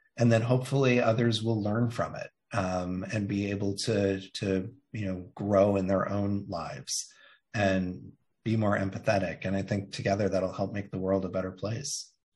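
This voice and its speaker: Against a quiet background, a man's somewhat breathy voice moves at a moderate pace. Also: fairly low pitch for a man, fairly even intonation. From Indiana, US Midwest. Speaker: marketing agency CEO and author. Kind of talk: interview.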